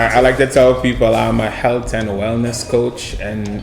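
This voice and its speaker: Music plays in the background as a man with a medium-pitched voice speaks, with audible room echo. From Trinidad. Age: 30s. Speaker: mindset and wellness coach. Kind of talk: casual interview chat.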